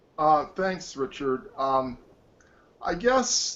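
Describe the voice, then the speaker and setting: A man with an American accent and lively intonation over noticeable background noise. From Detroit, US Midwest. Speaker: wireless technologist. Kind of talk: interview. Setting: video call.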